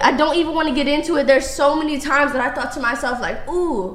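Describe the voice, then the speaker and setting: Amid noticeable background noise, a loud woman with a high pitch speaks very fast with lively intonation. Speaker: dating show guest. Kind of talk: heated debate. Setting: studio.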